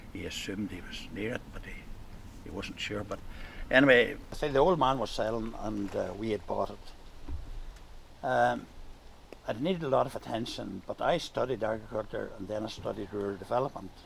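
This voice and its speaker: At a moderate pace, a man speaks with a Northern Irish accent. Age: 80s+. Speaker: farmer and retired teacher. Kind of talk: casual chat.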